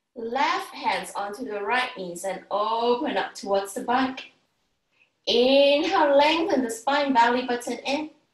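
A woman with a high pitch speaks at a fairly slow pace with lively intonation. There is audible room echo but a quiet background. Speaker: yoga instructor. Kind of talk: guided yoga class with breathing cues. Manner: calm, soothing, instructional; encouraging, paced with counted breaths. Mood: calm, soothing. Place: home room. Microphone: camera far.

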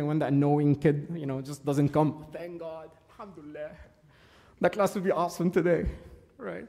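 A man's dark, mellow voice at a fairly quick pace, with fairly even intonation over a quiet background. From Egypt. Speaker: church servant giving a talk. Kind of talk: sermon. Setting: church. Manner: halting, many fillers. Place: church.

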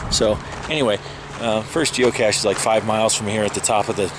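A man talks at a very fast pace. The sound is dry with no echo, but loud background noise is present. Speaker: geocaching vlogger. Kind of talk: casual vlog chat. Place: open country. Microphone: phone near.

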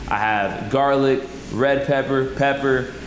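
A man is speaking. There is noticeable background noise behind him. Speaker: home cook host. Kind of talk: tutorial. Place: kitchen.

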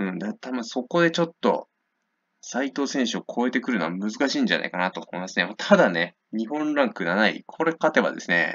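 A man with a medium pitch and vocal fry talks at a fairly quick pace, his pitch swinging very widely. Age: 20s. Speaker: boxing YouTuber. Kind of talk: fight prediction commentary. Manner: casual, filler-heavy.

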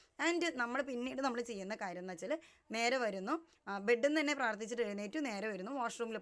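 This is a woman with a normal speaking voice. Her pitch variation is ordinary. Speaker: lifestyle vlogger. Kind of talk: motivational talk to camera.

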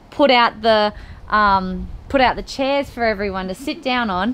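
Light background noise is present. Over it, a woman talks. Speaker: host showing her home. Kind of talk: casual vlog chat. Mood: cheerful, laughing storytelling. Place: home room. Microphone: phone near.

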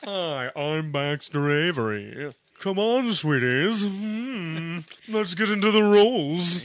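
Using a put-on character voice, a high-pitched man speaks at a fairly slow pace, with very wide pitch swings and long, frequent pauses. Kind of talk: posh, upper-class.

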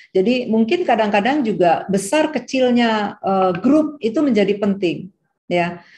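A woman's somewhat breathy, fairly high voice, dark and mellow in tone, with lively intonation, a fairly slow pace and very even loudness over a quiet background. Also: hardly any pauses. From Indonesia. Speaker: medical school dean, professor; guest lecturer. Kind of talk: lecture. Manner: hesitant with fillers. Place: home room. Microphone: video call.

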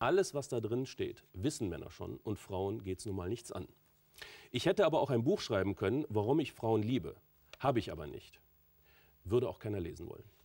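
Over a quiet background, the speaker's dark, mellow tone moves at a fairly quick pace, broken by long, frequent pauses, with very wide pitch swings and big swings in loudness. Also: man. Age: 40s. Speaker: author and entrepreneur; talk show guest. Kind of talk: talk show interview. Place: studio. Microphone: lapel.

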